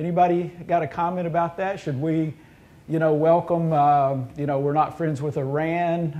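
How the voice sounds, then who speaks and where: A man in a Southern US accent talks at a moderate pace with a dark, mellow tone. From US South. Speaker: university administrator. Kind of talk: roundtable discussion. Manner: halting.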